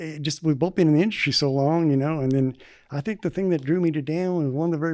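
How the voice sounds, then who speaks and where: Talking very fast, a man with a Southern US accent uses a fairly high pitch. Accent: Southern twang. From US South, northwest Arkansas. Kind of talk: casual chat.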